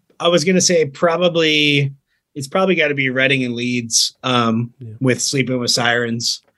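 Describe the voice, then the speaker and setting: A man with an American accent, medium pitch, a bright, sharp tone, ordinary pitch variation and a moderate pace. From Virginia and North Carolina, US South. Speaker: touring rock musician. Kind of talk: casual chat.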